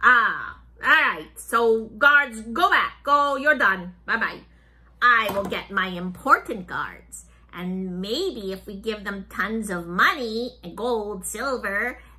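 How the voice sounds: A woman performs a put-on character voice with lively intonation and big swings in loudness. Her pace is very slow. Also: fairly high pitch for a woman.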